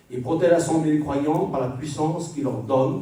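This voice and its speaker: Moderately paced speech comes through with audible room echo and noticeable background noise. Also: man. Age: 60s. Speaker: preacher. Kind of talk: sermon.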